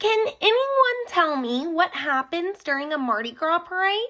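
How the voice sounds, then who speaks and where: The speaker performs a put-on character voice at a moderate pace. The pitch swings very widely. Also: woman, extremely high pitch for a woman. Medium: read story. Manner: timid, earnest.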